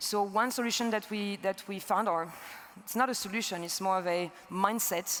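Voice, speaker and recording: A woman talks at a moderate pace. Noticeable background noise can be heard. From France. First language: French. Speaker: energy entrepreneur. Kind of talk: conference talk. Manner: halting.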